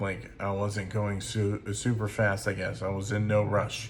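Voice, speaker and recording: Heard with audible room echo, a man with a fairly low, somewhat breathy voice speaks at a fairly slow pace. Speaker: music reviewer. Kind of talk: album review monologue. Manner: halting, many fillers.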